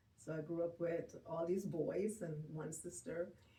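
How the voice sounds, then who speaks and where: A woman speaks very slowly in a fairly low pitch, her dark, mellow tone edged with vocal fry. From Jamaica. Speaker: grief and bereavement counselor. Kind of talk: interview conversation.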